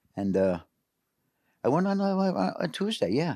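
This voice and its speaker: A man with a New York accent talks at a moderate pace with lively intonation. The sound is dry and close with no echo, on a very clean recording with a silent background. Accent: New York City. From New York City, Queens. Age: 70s. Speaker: carp angler. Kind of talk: casual chat.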